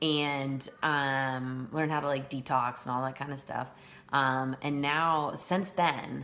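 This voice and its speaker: Speaking at a very slow pace, a woman with an American accent uses a very deep, low pitch and fairly even intonation. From Northern California. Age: 40s. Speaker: teacher. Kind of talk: self-introduction monologue. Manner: hesitant, many fillers.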